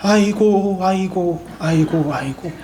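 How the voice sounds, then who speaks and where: Over clear background noise, a female-sounding voice at medium pitch does a put-on character voice at a fairly slow pace. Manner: loud, drawn-out mournful wailing.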